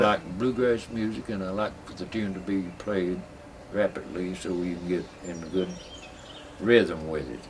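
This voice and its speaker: Over noticeable background noise, a man speaks with a Southern Appalachian accent. His pitch is fairly low with ordinary variation, and his pace fairly slow. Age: 70s. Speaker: buck dancer. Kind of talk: interview.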